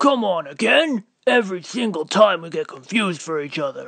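A man speaks at a moderate pace in a cartoonish character voice pitched high. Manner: exasperated.

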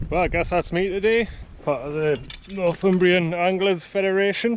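A man talks at a moderate pace in a dry sound with no echo, though noticeable background noise is present. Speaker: angler vlogger. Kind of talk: casual vlog chat. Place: open country. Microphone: phone near.

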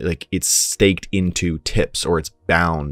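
Faint music plays behind a man whose very deep, low voice comes through dry, with no echo. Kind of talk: tutorial. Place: home room. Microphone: studio mic.

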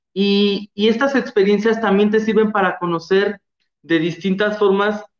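Audible room echo surrounds speech at a fairly slow pace over a quiet background. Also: man. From Guerrero, Mexico. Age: young. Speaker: former award winner, nursing graduate. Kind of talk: testimony. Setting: video call. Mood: warm, enthusiastic. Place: home room. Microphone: video call.

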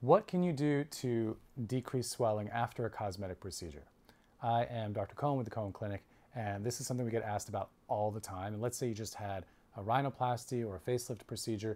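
A man talks at a very fast pace in a dark, mellow tone. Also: ordinary pitch variation. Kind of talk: informational talk to camera. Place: office. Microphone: lapel.

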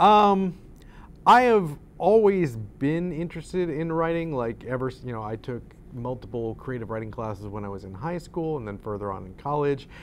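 With an American accent, a man speaks at a moderate pace, his pitch swinging very widely and his loudness shifting in big swings over light background noise. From upstate New York, near Syracuse; New York. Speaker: author and playwright; guest. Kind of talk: interview. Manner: hesitant, many fillers. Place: studio.

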